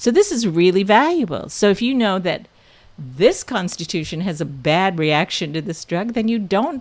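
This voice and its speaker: In a very clean recording with a silent background, a woman uses a normal speaking voice at a medium pitch. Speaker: practitioner of Korean constitutional medicine. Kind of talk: clinical tutorial segment.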